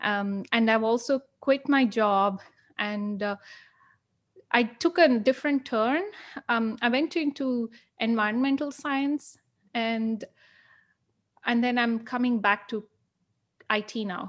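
On a very clean recording with a silent background, the speech is very slow, with long, frequent pauses and ordinary pitch variation. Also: woman, fairly high pitch for a woman. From India. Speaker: podcast host. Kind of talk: casual interview. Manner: halting.

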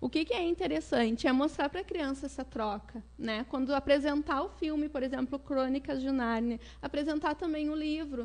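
Against a quiet background, a woman speaks at a moderate pace with hardly any pauses. Her high voice shows ordinary pitch variation. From Southern Brazil, Porto Alegre. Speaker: educator and children's author. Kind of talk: interview.

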